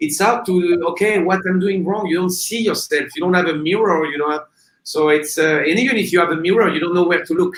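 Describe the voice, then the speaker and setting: This man has a high pitch. He speaks at a fairly quick pace with ordinary pitch variation. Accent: non-native. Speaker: kiteboarding instructor examiner. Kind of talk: casual interview. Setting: live video stream. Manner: halting, many fillers.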